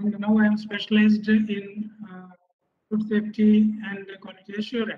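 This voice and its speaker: A man with an Indian accent speaks at a high pitch in a dark, mellow tone, his intonation monotone and flat amid big swings in loudness. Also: moderate pace. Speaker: fisheries scientist; webinar presenter. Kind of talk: webinar presentation. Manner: formal. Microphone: video call.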